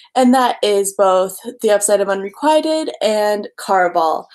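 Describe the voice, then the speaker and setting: Her medium-pitched voice carries lively intonation as the woman speaks. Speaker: booktuber. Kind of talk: live stream book review. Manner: fast; animated.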